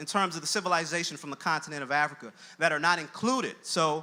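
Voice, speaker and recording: Very fast and high-pitched, a man talks with a bright, sharp tone. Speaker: college dean and education scholar giving a talk. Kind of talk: lecture-style talk with slides.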